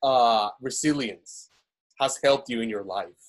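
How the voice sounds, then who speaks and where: A man talks with a Spanish accent. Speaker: webinar host and business owner. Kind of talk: webinar interview. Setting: video call.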